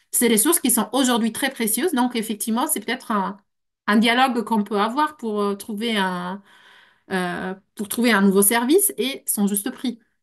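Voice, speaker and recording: Someone with a non-native accent speaks over a quiet background. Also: woman, fairly high pitch for a woman, ordinary pitch variation, moderate pace. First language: not French (speaking French). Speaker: translator and consultant. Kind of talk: panel discussion. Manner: halting.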